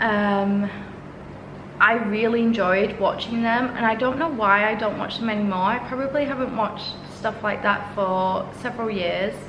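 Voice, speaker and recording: At a moderate pace, a woman with a fairly high pitch speaks with fairly even intonation, amid noticeable background noise and audible room echo. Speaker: solo podcaster and YouTuber. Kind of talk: casual solo podcast monologue.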